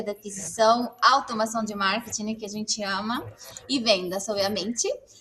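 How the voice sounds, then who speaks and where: Through noticeable background noise, a woman with a Mexican accent speaks at a moderate pace and a fairly high pitch. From Mexico. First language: Spanish (speaking Portuguese). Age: 40s. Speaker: marketing agency CEO. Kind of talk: live webinar interview. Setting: agency office, video stream.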